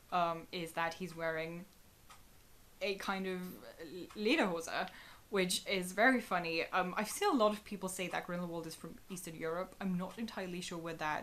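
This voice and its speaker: A woman talks at a moderate pace with a German accent. Her pitch is fairly low. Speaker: YouTuber. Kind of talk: video commentary. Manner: animated.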